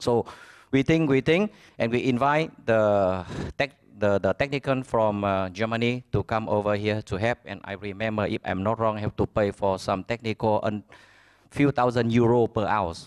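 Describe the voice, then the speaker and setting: Over a quiet background, a man with a Vietnamese accent speaks at a moderate pace in a dry, close sound with no echo. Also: medium pitch for a man, ordinary pitch variation. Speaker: business owner. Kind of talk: conference speech. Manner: halting.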